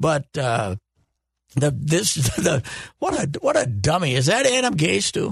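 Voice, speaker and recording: This man's fairly high voice, roughened by vocal fry, makes very wide pitch swings in a dry, close recording with no echo. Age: 70s. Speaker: sports commentator. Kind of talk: casual chat.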